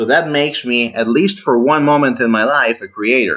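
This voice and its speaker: A man with an Italian accent, medium pitch and moderate pace, against a quiet background. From Italy. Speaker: engineer, debate channel host. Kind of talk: heated debate. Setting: online voice call. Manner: overly formal.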